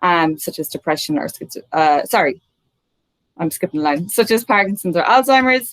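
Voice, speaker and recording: With an Irish accent, a woman speaks at a medium pitch. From Ireland, midlands. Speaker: neuroscientist. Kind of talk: talk to an online audience. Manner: many fillers (um).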